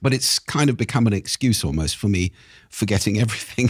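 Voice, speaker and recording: A plain, everyday voice from a man at medium pitch, fairly quick and with lively intonation, in a dry, close sound with no echo, a very clean recording with a silent background. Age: 60s. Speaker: speaking expert and author. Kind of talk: podcast interview.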